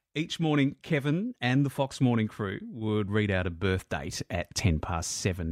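With an Australian accent, a man speaks at a moderate pace with fairly low pitch, lively intonation and hardly any pauses. The recording is very clean with a silent background and a dry, close sound with no echo. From Melbourne, Australia. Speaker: radio presenter, podcast host. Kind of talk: podcast narration and interview.

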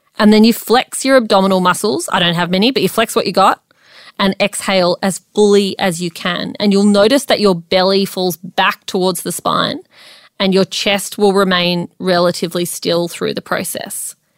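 A woman speaks in a normal speaking voice at medium pitch, keeping a moderate pace and fairly even intonation. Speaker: podcast co-host. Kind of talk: pep talk, coaching-style explainer addressed directly to listeners. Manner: direct, encouraging address to 'folks'.

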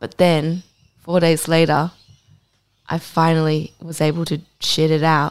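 A woman with an Australian accent, a very deep, low voice and a fairly slow pace. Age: 30s. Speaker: podcast co-host. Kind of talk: casual chat. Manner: animated.

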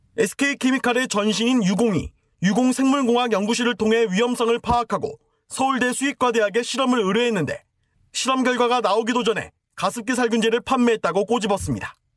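In a dry, close sound with no echo, a man talks at a fairly quick pace in an extremely high pitch, his loudness very even and his intonation fairly even. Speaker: news reporter. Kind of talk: news report.

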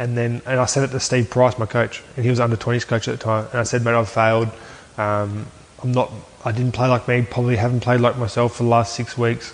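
A man talks at a fairly quick pace with an Australian accent. His pitch is medium, and his intonation is monotone and flat. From Aberdeen, New South Wales, Australia. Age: 20s. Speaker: former rugby league player. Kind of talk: casual interview.

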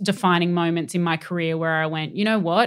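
Speaking with an Australian accent at a fairly quick pace, a woman keeps a medium pitch and fairly even intonation on a very clean recording with a silent background. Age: 30s. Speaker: entertainment journalist. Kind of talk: casual chat.

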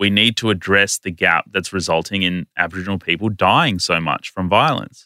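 A man with an Australian accent, bright, sharp tone, ordinary pitch variation and moderate pace, in a very clean recording with a silent background and a dry, close sound with no echo. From Australia (Indian-born, arrived as a small child). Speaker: writer, lawyer and activist. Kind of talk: casual interview conversation. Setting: podcast studio.

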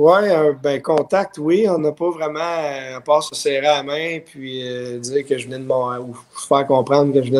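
A man with a fairly high voice, fairly slow delivery and fairly even intonation, over noticeable background noise. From Quebec and Ottawa. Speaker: former professional baseball pitcher. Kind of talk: casual chat.

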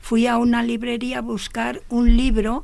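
Vocal fry marks a woman's voice as she speaks at a fairly slow pace. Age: 70s. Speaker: amateur runner. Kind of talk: radio interview.

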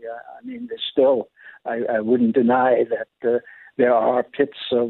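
A medium-pitched man speaking at a moderate pace. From New York City. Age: 90s. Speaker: war veteran. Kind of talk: interview. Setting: phone call. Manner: clear; halting.

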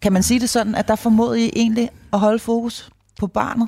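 The fairly high pitch of this somewhat breathy woman carries fairly even intonation in a dry, close sound with no echo. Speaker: podcast host. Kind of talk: interview; scripted narration. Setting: allotment garden cabin.

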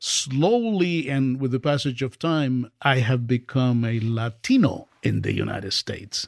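With a Spanish accent, a man speaks at a medium pitch and a fairly slow pace. His pitch variation is ordinary, and the background is quiet. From Dominican Republic. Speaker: professor. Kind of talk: interview conversation. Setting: studio.

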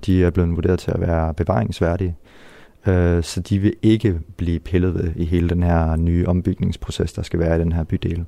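A man with a very deep, low pitch and a dark, mellow tone. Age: 20s. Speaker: artist in a youth culture house. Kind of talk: interview. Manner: hesitant, many fillers.

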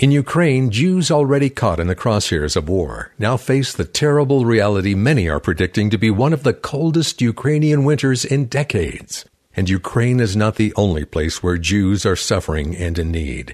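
With hardly any pauses, a man speaks at a fairly low pitch that moves in very wide swings. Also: moderate pace. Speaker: radio announcer. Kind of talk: scripted fundraising appeal narration. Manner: formal.

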